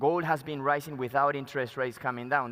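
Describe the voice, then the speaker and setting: A man with a Spanish accent at a fairly quick pace, with ordinary pitch variation. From Peru. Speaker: mining company executive. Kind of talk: conference presentation. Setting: stage at conference.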